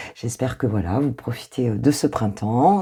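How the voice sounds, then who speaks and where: This woman's voice has vocal fry. Her tone is warm, dark and mellow. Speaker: intuitive coach, tarot reader. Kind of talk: tarot reading. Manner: hesitant, many fillers; warm, casual.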